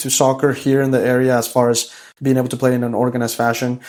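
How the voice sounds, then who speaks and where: A man at a medium pitch, with a Spanish accent. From El Salvador. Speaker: high school soccer coach. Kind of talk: casual interview chat. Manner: animated storytelling.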